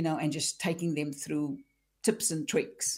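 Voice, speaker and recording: A woman's fairly low, normal speaking voice at a moderate pace, on a very clean recording with a silent background. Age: 50s. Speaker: career coach. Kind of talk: interview.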